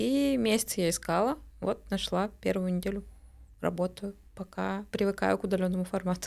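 An ordinary speaking voice carries lively intonation. Its loudness stays very even. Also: woman, medium pitch for a woman, moderate pace. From Bashkortostan, Russia. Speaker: marketer, club member. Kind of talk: casual chat. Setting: studio.

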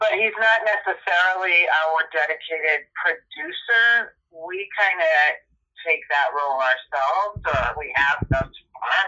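In an American accent, a woman with an unremarkable speaking voice talks at a fairly slow pace and a fairly low pitch, her intonation lively. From New York. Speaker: musician. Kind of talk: interview.

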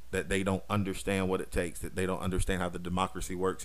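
With audible room echo, a man in an American accent speaks at a very deep, low pitch. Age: 30s. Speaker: podcast host. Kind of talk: casual monologue. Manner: many fillers and repetitions.

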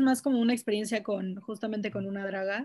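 A woman with a fairly high pitch talks in a somewhat breathy voice with fairly even intonation. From Mexico City. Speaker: podcast guest, social media activist. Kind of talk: casual chat.

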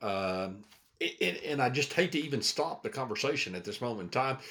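Fairly high male voice with vocal fry, very wide pitch swings and a fairly quick pace. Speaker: podcast co-host. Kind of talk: casual interview chat.

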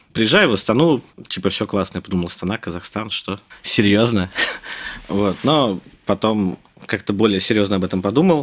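At a moderate pace, a man with a fairly low pitch speaks with long, frequent pauses. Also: ordinary pitch variation. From Russia, Moscow. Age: 30s. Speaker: software developer. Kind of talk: casual interview.

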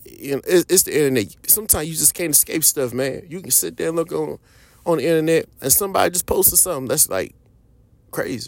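The recording is very clean, and the background is silent. A man rattles off his words at a very fast pace. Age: 30s. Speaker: podcast host. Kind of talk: solo podcast monologue. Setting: at a podcast mic. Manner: casual, conversational.

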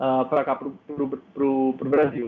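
This is a man's voice. He speaks with a strong Brazilian accent. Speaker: football tactics analyst and columnist. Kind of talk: podcast interview.

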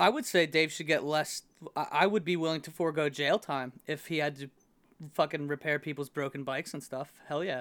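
An unremarkable speaking voice from a man with an American accent, fairly high in pitch. He talks at a fairly quick pace with ordinary pitch variation. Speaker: podcast co-host. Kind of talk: casual chat. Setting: remote recording.

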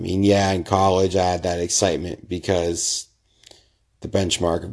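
A man's very deep, low voice, monotone and flat, over a quiet background. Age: 20s. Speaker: civil engineer. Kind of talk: solo podcast monologue.

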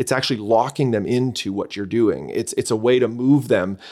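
Talking at a very fast pace, a man with a slight Canadian accent uses ordinary pitch variation. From Canada. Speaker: church leader and author.

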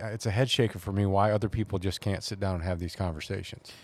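This man has a plain, everyday voice, fairly low-pitched with an American accent and ordinary pitch variation. The recording is very clean, with a silent background. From Georgia, US South. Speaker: podcast host. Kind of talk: casual chat.

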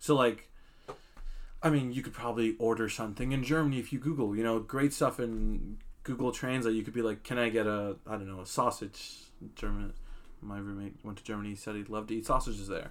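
With a plain, everyday voice, a man keeps his intonation fairly even, talking fairly quickly at a medium pitch. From US. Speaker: podcast co-host. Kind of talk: casual chat. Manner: casual, frequent filler 'like'.

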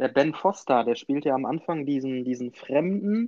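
A man talks in a plain, everyday voice, fairly high in pitch. He goes at a fairly slow pace with ordinary pitch variation. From Münsterland, Germany. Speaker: podcast co-host, film fan. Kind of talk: casual chat.

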